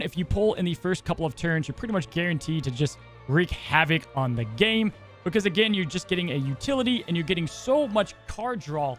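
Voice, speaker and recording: A man speaks at a fairly quick pace with a high pitch and very wide pitch swings. Music plays in the background. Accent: American. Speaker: card game content creator. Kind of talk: casual, conversational.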